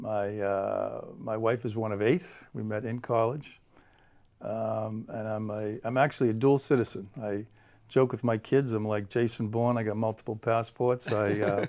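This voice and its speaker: Here a man speaks in a Boston accent. His voice sits at a medium pitch. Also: moderate pace. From Boston area, Massachusetts (South Shore). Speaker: guest, school district staff. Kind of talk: interview.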